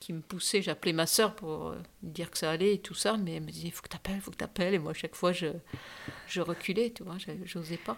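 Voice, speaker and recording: A woman's fairly low voice with vocal fry, fairly even intonation and big swings in loudness, at a fairly quick pace on a very clean recording with a silent background. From Cameroon and Morocco childhood, raised Biarritz. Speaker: surf champion and charity president. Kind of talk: interview. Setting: at her home.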